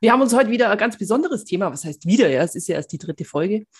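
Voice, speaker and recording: A woman speaks with very wide pitch swings. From Bavaria. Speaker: podcast co-host. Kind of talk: casual chat.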